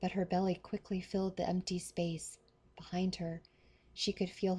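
The clip features a natural reading voice.

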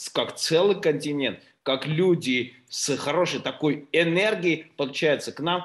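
Lively intonation marks a man's speech. The background stays quiet. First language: Russian (speaking Spanish). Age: 40s. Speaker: company CEO. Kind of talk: business presentation. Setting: video call. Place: home room. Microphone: video call.

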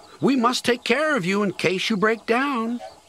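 A man puts on a character voice at an extremely high pitch with a fairly bright tone. His intonation is lively and his pace moderate.

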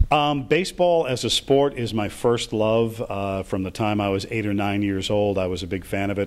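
A man talks at a fairly quick pace with a fairly low pitch. His pitch varies in an ordinary way. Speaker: baseball stadium public address announcer. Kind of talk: interview answer. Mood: warm, reflective.

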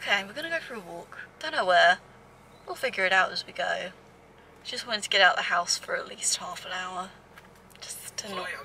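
The speech moves at a fairly quick pace. The sound is dry with no echo, with light background noise. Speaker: vlogger. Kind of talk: casual vlog chat. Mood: relaxed, slightly unsure. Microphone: phone near.

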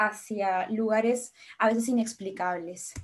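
The background is quiet as a woman talks. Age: 20s. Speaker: medical student and nutrition content creator; nutrition content creator. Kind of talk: online lecture.

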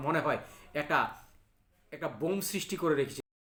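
A man speaks with a high pitch. His tone is bright and sharp. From Bangladesh, Cumilla (Debidwar). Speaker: local political commentator. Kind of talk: political monologue. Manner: halting.

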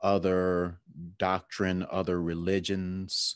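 A man's very deep, low voice, dry with no echo, over a quiet background. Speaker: podcast co-host. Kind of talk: casual podcast discussion. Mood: reflective, relaxed. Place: home room. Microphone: webcam.

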